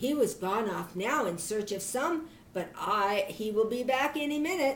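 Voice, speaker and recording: A woman speaks quietly at a moderate pace in a put-on character voice with fairly high pitch. Clear background noise is present. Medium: read story. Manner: fearful, hushed.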